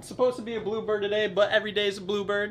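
Light noise sits behind a man as he speaks. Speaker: ski vlogger. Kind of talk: casual vlog chat. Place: home room. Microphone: camera far.

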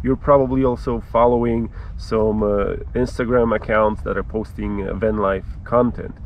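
There is light background noise as a man talks at a moderate pace with hardly any pauses, in a dry sound with no echo. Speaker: travel vlogger. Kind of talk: casual vlog chat. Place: open country.

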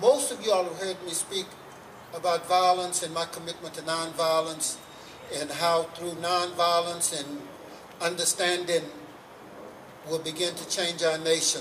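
At a moderate pace, a man speaks with a high pitch and monotone, flat intonation over light background noise. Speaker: civil rights activist speaker. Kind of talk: rally speech. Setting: stage with audience at a rally. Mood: earnest, calm conviction. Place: street.

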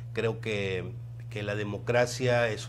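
Against noticeable background noise, a man speaks in a somewhat breathy voice with monotone, flat intonation. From Ciudad Victoria, Tamaulipas, Mexico; Tamaulipas, Mexico. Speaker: political candidate; candidate. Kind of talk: interview; interview answer. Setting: radio studio. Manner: halting, many fillers and repetitions. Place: studio. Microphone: lapel.

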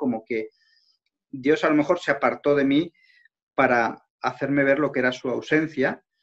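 With an Aragonese accent, a man speaks at a moderate pace and with fairly even intonation against a quiet background. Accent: Spanish from Spain, Aragon. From Spain, Zaragoza; Spain. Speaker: interview guest, journalist. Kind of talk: interview, faith testimony. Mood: calm, reflective, personal. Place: home room. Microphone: video call.

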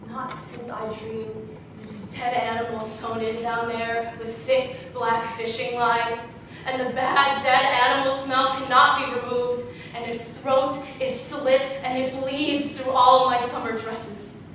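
A woman's high voice, fairly slow and fairly even in intonation, with light background noise and strong room echo. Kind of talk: dramatic theatrical monologue. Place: stage. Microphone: camera far.

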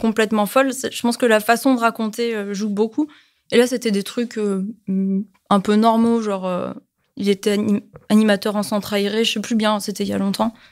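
A woman speaks with a fairly high pitch. Her intonation is flat and monotone. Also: very clean recording, silent background. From Toulon, southern France. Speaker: podcast guest. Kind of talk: casual chat.

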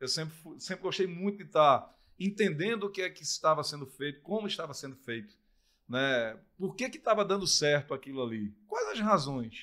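Over a quiet background, a man with a strong northeastern Brazilian accent speaks in a fairly high, bright, sharp voice, with lively intonation and big swings in loudness. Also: moderate pace. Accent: thick northeastern Brazilian. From Brazil, Pernambuco interior (Surubim); Pernambuco, Brazil. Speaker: sports commentator and former footballer; sports commentator. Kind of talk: casual interview chat. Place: studio. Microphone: studio mic.

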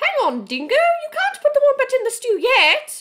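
In a put-on character voice, a woman squeaks at an extremely high pitch, her pitch swinging very widely at a moderate pace. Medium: read story. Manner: fluttery, sighing.

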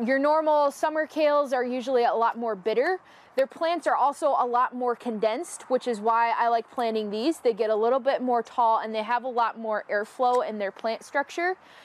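A woman's high-pitched voice with hardly any pauses. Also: ordinary pitch variation, moderate pace, dry sound with no echo. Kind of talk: tutorial.

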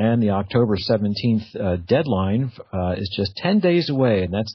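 A man with a fairly low, somewhat breathy voice speaks at a moderate pace with lively intonation. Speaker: internet radio show host. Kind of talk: radio show opening monologue.

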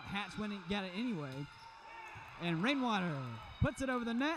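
Here a man speaks with a high pitch. His intonation is lively and his pace moderate. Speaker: volleyball commentator. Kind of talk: live sports commentary, play-by-play. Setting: arena with crowd, courtside.

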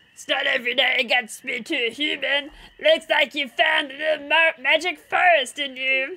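A high-pitched, put-on character voice is used here. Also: moderate pace.

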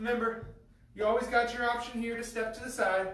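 With light background noise and audible room echo, a man speaks at an extremely high pitch in a monotone, flat intonation. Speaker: fitness coach. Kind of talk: workout instruction. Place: gym.

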